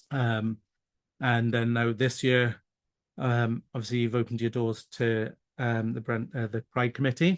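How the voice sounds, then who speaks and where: At a fairly slow pace, a man with a Welsh accent speaks at a medium pitch in a monotone, flat intonation. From South Wales. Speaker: pride committee organizer. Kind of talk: interview. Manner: hesitant, many fillers.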